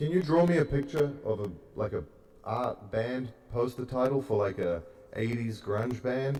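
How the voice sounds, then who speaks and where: A man with a New Zealand accent, a dark, mellow tone, some breathiness and lively intonation. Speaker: podcast host. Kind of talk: casual chat. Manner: animated.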